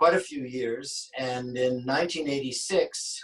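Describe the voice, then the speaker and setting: Speaking at a very slow pace, a man with a western Canadian accent uses a medium pitch with ordinary pitch variation. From western Canada, Vancouver. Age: 60s. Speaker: sculptor. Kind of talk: interview.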